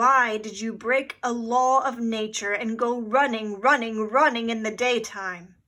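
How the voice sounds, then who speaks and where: A woman puts on a character voice with a fairly high pitch, at a fairly slow pace with hardly any pauses. The recording is very clean, with a silent background. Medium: read story.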